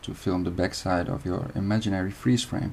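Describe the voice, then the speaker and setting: This man has a Dutch accent. His tone is dark and mellow. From Netherlands. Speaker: video editing tutorial maker. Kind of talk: tutorial. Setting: screen recording.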